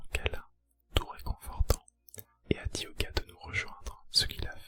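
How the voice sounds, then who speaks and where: The voice is a whisper. It moves at a fairly slow pace. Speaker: ASMR creator. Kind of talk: reading aloud of viewer's dream. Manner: whispered, soft-spoken.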